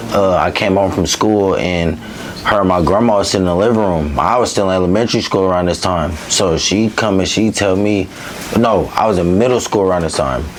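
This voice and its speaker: This man has a very deep, low-pitched voice. Noticeable background noise and audible room echo surround him. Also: ordinary pitch variation, fairly quick pace, very even loudness. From East Oakland, California. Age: 20s. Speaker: interview guest. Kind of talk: casual interview, personal story.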